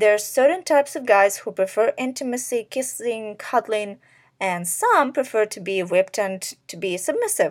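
An ordinary speaking voice from a woman at a fairly high pitch and moderate pace, with lively intonation and big swings in loudness, on a very clean recording with a silent background. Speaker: podcast host and sex worker. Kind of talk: casual monologue. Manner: filler-heavy, many likes and ums.

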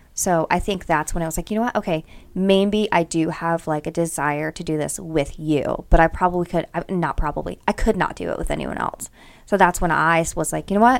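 A woman speaks in a normal speaking voice at a fairly low pitch. Her pace is fairly quick, with ordinary pitch variation. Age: 30s. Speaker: podcast co-host. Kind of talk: casual chat.

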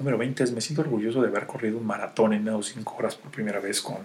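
A man with a Mexican accent at a very fast pace, medium pitch, ordinary pitch variation, and big swings in loudness, over noticeable background noise. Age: 40s. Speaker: wealth and life coach. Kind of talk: podcast monologue. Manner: halting with many fillers.

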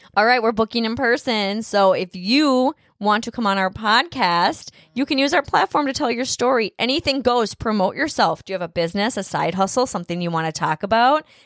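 A woman with an ordinary speaking voice, fairly high-pitched and fairly quick, with lively intonation, in a very clean recording with a silent background and a dry, close sound with no echo. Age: 40s. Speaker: podcast host, parent of teen co-host. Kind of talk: reading aloud; casual chat.

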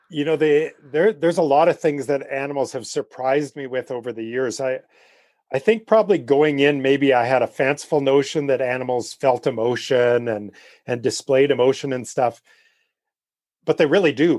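This man has an ordinary speaking voice, fairly high in pitch, with a Canadian accent, ordinary pitch variation and a moderate pace, captured dry and close with no echo against a quiet background. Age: 50s. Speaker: wildlife photographer. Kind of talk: interview.

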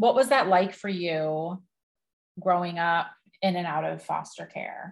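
This woman has a normal speaking voice with a fairly low pitch and ordinary pitch variation. She talks at a fairly slow pace. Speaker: cancer advocate and podcast host. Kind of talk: casual interview chat.

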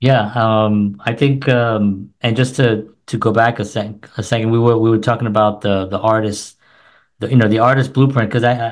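A man with an American accent, a normal speaking voice, medium pitch, ordinary pitch variation and a moderate pace. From New York City. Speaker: musician and filmmaker. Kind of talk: casual chat.

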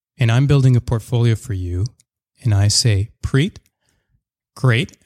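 A man with a Canadian accent speaks at a medium pitch and a fairly slow pace, somewhat breathy, with ordinary pitch variation in a dry, close sound with no echo. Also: long, frequent pauses. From Canada, Surrey near Vancouver. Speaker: portfolio manager. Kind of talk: podcast interview.

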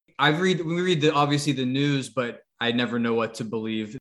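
With an American accent, a man has an ordinary speaking voice pitched fairly high. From New England, US. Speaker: podcast co-host. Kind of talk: casual interview chat.

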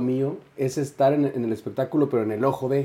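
A man's fairly high voice with a dark, mellow tone and fairly even intonation. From Mexico City. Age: 20s. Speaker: singer. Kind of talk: casual chat.

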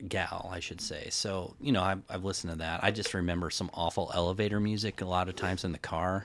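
The man's voice is very deep and low, with an American accent. He talks at a very fast pace with fairly even intonation. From Kansas City. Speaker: guest, old friend of host. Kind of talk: casual chat.

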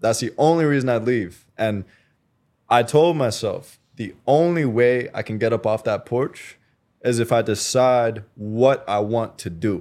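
A man speaks in a normal speaking voice, medium in pitch with ordinary pitch variation, on a very clean recording with a silent background. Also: fairly slow pace. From Canada. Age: 20s. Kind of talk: casual interview conversation.

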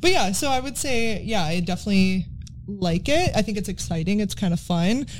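With a Wisconsin accent, a woman speaks fairly quickly at medium pitch. Her voice is somewhat breathy, with lively intonation. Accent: Wisconsin Midwestern. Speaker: podcast host. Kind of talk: casual chat podcast.

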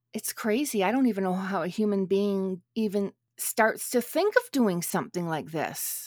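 A woman with a Canadian accent and a normal speaking voice, medium pitch, moderate pace and ordinary pitch variation. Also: dry, close sound with no echo. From Canada. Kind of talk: casual chat. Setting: remote recording across countries.

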